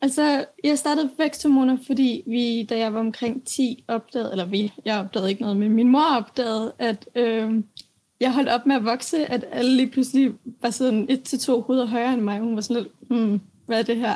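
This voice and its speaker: A woman speaks at high pitch. Her tone is dark and mellow. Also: ordinary pitch variation, moderate pace. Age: 20s. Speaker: young author with chronic illness. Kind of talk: interview. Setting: remote connection from home. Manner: halting, many fillers.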